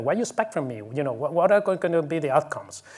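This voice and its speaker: Lively intonation from a man with a fairly high pitch. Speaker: conference speaker, publishing consultant. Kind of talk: conference talk. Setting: conference stage with audience and interpreters. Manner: fast.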